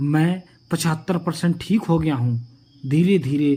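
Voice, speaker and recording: Dark, mellow tone from a man, his voice somewhat breathy. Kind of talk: moral story narration.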